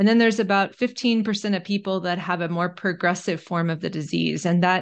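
Over a quiet background, a woman uses a normal speaking voice at a fairly low pitch. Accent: American. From Texas, Austin. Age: 50s. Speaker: family physician and author. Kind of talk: interview.

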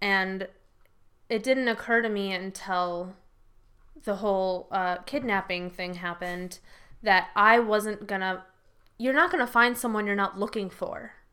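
Speaking with an American accent, a woman at medium pitch uses a bright, sharp tone, fairly even intonation and a fairly slow pace with long, frequent pauses, recorded very cleanly against a silent background. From US Midwest, Rockford. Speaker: Marine veteran and business owner. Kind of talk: casual interview.

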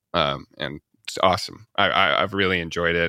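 A man with an American accent, a very deep, low pitch, vocal fry and a bright, sharp tone, recorded dry and close with no echo, very clean and with a silent background. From US Midwest. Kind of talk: casual interview conversation.

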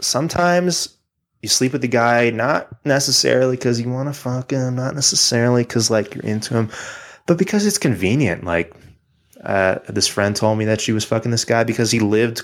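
In a plain, everyday voice of medium pitch, a man speaks at a moderate pace with ordinary pitch variation. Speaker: podcast co-host. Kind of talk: casual chat. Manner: joking, sarcastic.

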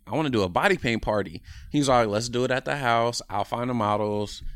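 Here is a man with an American accent and a normal speaking voice. He has a medium pitch and lively intonation. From Oakland, California. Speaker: painter and artist. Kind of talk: casual interview chat.

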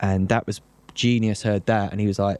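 A man speaks in a South London accent at a fairly quick pace. His tone is dark and mellow, his intonation monotone and flat. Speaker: grime producer and DJ. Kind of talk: casual interview chat.

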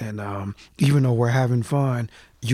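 In an American accent, a man talks at a fairly slow pace with fairly even intonation. His is a normal speaking voice, medium in pitch. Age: 40s. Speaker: hip-hop artist. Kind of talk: casual interview. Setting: studio.

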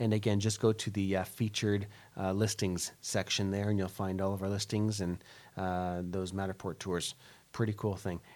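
A plain, everyday voice from a man, fairly low in pitch, at a moderate pace on a very clean recording with a silent background. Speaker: real estate broker and radio show host. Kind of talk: radio show banter, advertising feature. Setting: radio studio. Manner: friendly, chatty, upbeat, with filler words.

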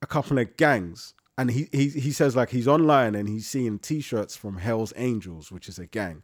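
With a London accent and ordinary pitch variation, a man speaks in a dry, close sound with no echo, on a very clean recording with a silent background. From East London, Leytonstone. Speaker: podcast co-host. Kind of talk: casual chat.

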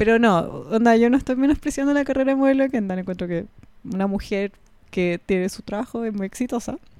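A woman with a Chilean accent, fairly high-pitched with a dark, mellow tone, ordinary pitch variation and a very fast pace, on a very clean recording with a silent background. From Chile, Puente Alto (Santiago). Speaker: podcast co-host. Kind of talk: casual chat.

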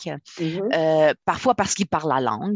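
A woman speaks at a moderate pace with a very deep, low pitch. The sound is dry and close with no echo. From Quebec, immigrated as a child. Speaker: author. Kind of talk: interview.

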